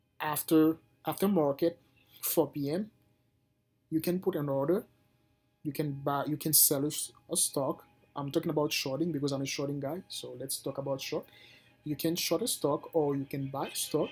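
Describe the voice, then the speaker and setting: A man with a non-native accent, long, frequent pauses and music in the background. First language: not English. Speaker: day trader and video creator. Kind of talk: casual tutorial. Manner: halting, with frequent restarts.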